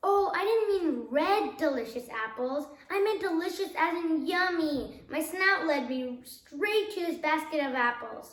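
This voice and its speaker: A woman puts on a whiny character voice, pitched extremely high. She keeps a moderate pace with hardly any pauses. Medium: read story.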